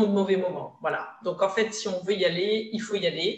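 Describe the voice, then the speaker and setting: A woman talks in a normal speaking voice with a medium pitch. Her pace is moderate, and her intonation stays fairly even. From Provence, France (Var). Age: 30s. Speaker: business consultant and trainer. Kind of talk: interview.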